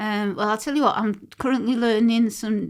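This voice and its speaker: The speaker has a Mancunian accent and a moderate pace, with ordinary pitch variation. The recording is very clean, with a silent background. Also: woman. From Manchester, England. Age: 60s. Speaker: poet and battle rapper. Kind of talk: podcast interview. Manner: halting.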